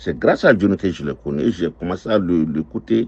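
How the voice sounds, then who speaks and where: The voice has a vocal fry. The sound is dry and close, with no echo. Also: man. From Ivory Coast. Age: 60s. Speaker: restaurant owner. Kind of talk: testimony. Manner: slow.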